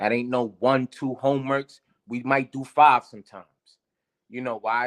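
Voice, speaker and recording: A man with a New York accent, medium pitch and a bright, sharp tone at a moderate pace, in a dry, close sound with no echo. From New York, South Bronx. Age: 30s. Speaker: teacher. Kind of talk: casual chat. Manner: halting.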